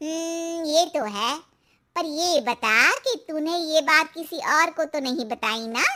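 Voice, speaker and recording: A woman's cartoonish character voice, extremely high in pitch, with lively intonation at a moderate pace. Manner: knowing, cautionary.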